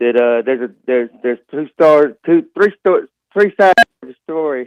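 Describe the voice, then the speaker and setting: A man with an unremarkable speaking voice talks at a moderate pace in a fairly high pitch, his intonation lively and the sound dry and close with no echo. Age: 60s. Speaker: sports commentator, Alabama fan. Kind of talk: sports talk show.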